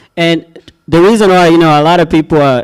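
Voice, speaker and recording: A man speaks here with an African accent. His pitch sits fairly high. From Kenya. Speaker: logistics startup founder. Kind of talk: pitch presentation and Q&A. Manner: casual, with many fillers.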